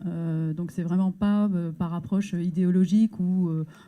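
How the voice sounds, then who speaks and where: Her voice is dark and mellow and somewhat breathy, a woman at medium pitch speaking at a moderate pace with fairly even intonation. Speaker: NGO staff member presenting research. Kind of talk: conference talk. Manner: hesitant, many filler words.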